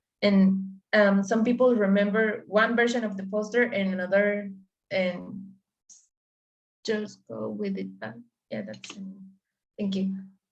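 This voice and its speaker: The speech comes at a fairly slow pace with long, frequent pauses, fairly even intonation and big swings in loudness, and audible room echo. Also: woman, medium pitch for a woman. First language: Spanish. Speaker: language learner. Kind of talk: casual chat.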